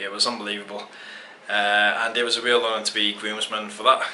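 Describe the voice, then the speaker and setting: Mumbling in an English accent with fairly low pitch and monotone, flat intonation, a man comes through audible room echo and noticeable background noise. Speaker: travel photography vlogger. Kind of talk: casual vlog to camera.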